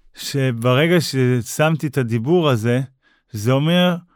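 In a very clean recording with a silent background, a man speaks very slowly. His intonation is lively. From northern Israel, Upper Galilee. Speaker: motivational speaker and amputee marathon runner. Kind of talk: interview telling personal story.

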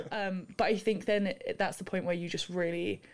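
A woman with a London accent, medium pitch, fairly even intonation, and a fairly quick pace. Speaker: university student and rower. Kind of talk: casual chat.

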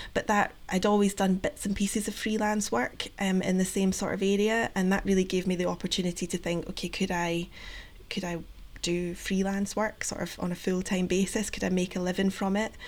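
A woman with a Scottish accent speaks at a fairly quick pace in a medium pitch, her intonation monotone and flat. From Scotland. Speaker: project coordinator, patient engagement. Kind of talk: interview. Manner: hesitant, many fillers.

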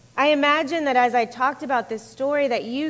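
In an American accent, a woman talks at a fairly quick pace with a high pitch and lively intonation. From US South (Florida and Georgia). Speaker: pastor. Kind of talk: sermon. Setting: church.

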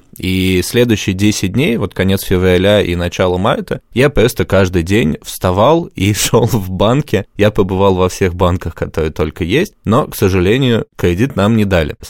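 A man's unremarkable speaking voice at a fairly low pitch and moderate pace, with ordinary pitch variation and hardly any pauses, dry and close with no echo, in a very clean recording with a silent background. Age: 20s. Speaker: entrepreneur. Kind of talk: interview.

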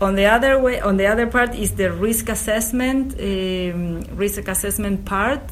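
Noticeable background noise sits behind a woman speaking in a Spanish accent. Her medium-pitched voice moves at a moderate pace with fairly even intonation and hardly any pauses. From Uruguay. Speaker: government biosafety regulator. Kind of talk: interview. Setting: office at agriculture ministry. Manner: halting.

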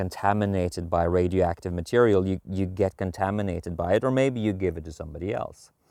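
In a very clean recording with a silent background and a dry, close sound with no echo, a man speaks at a moderate pace with a Norwegian accent. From Norway. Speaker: podcast host, men's coach. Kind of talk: walking monologue. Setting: outdoors.

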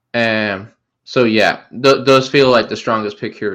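Against a quiet background, a man with an Irish accent speaks fairly slowly at a fairly low pitch, his intonation fairly even. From Ireland. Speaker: fantasy football podcast co-host. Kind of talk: casual chat. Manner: halting, many fillers and restarts.

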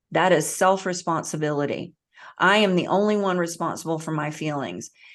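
A woman's plain, everyday voice in an American accent, fairly low in pitch, with ordinary pitch variation, a moderate pace, and a quiet background. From US South. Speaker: author and hypnotherapist. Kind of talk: podcast interview.

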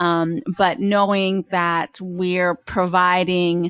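A woman speaks with an American accent at a medium pitch. The background is quiet. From Pennsylvania. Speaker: podcast producer at a university research center. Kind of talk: interview. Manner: hesitant, many fillers.

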